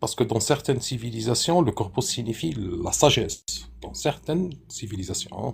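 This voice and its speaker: With a non-native accent and vocal fry, a man talks at a moderate pace using very wide pitch swings. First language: not French (speaking French). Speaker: participant in live debate stream. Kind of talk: casual debate. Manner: halting.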